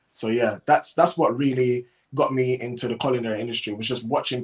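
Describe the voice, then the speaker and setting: A man speaks in a Caribbean accent at a fairly quick pace. His intonation stays fairly even. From Cayman Islands. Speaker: chef and food business owner. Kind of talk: interview.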